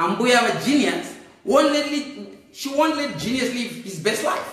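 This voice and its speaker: Audible room echo and noticeable background noise around a man's fairly slow speech. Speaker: political commentator. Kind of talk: comedic monologue. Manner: animated; loud.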